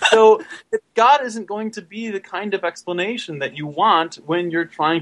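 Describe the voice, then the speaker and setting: Speech comes at a moderate pace. It has an American accent. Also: man. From US Midwest, Michigan. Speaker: podcaster. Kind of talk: casual chat.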